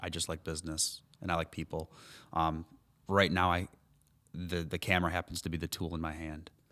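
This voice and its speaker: A man speaks at a fairly quick pace with a very deep, low pitch and a bright, sharp tone. His intonation is monotone and flat, in a very clean recording with a silent background. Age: 30s. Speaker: photographer and entrepreneur. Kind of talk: casual interview chat. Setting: studio with warm lights. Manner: cheerful.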